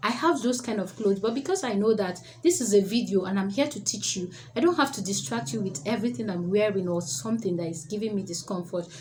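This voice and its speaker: Very fast and with lively intonation, a woman speaks at medium pitch. Room echo and background noise are both noticeable. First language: not English. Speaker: public speaking coach. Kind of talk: tutorial.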